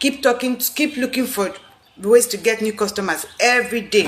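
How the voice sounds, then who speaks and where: A woman speaks in an animated tone. Noticeable background noise runs behind her. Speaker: business coach. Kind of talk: live video talk. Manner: fast.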